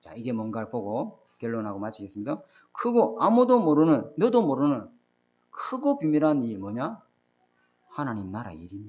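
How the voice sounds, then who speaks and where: The loudness swings a lot. The intonation is lively. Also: man, medium pitch for a man. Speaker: pastor. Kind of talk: sermon. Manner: fast.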